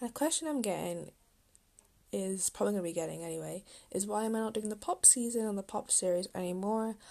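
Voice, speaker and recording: A woman's dark, mellow voice at medium pitch, very fast pace, quiet background. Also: ordinary pitch variation. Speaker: podcast host. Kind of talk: solo podcast monologue. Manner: casual, filler-heavy.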